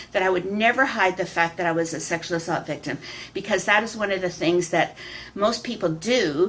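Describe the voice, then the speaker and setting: A woman speaks at a fairly quick pace with lively intonation. Noticeable background noise sits behind her. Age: 60s. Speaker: public speaker and vlogger. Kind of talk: personal vlog monologue. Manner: halting, with frequent fillers and repeats.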